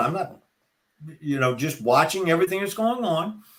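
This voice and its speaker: A man with an American accent talks at a fairly quick pace. His pitch swings very widely, and vocal fry runs through his voice. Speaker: retired NFL referee, speaker. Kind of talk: podcast interview. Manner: halting, many repetitions.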